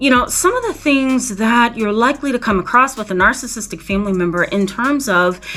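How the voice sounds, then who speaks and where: With music in the background, a woman speaks at a moderate pace in a fairly high voice. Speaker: licensed professional counselor, therapist. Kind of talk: educational talk to camera. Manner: conversational, casual.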